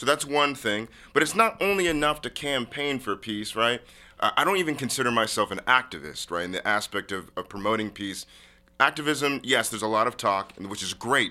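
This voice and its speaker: A loud man with an American accent, a bright, sharp tone, lively intonation and a fairly quick pace. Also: medium pitch for a man, very clean recording, silent background. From Washington State, US (University Place, Tacoma area). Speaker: founder of a humanitarian peace organization. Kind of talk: casual interview. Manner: loud, boisterous.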